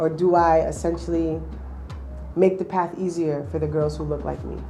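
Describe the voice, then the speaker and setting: With a New England accent, a woman speaks at a moderate pace. Music plays in the background, and the room echo is audible. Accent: New England American. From Springfield, Massachusetts. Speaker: basketball player and nonprofit founder. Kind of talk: personal testimony.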